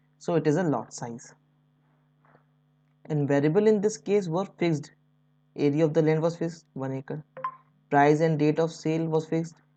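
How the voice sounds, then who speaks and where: Here is a woman with an Indian accent. Her pitch is very deep and low, and her tone is dark and mellow. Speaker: stock market educator. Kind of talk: tutorial. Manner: unscripted, somewhat halting.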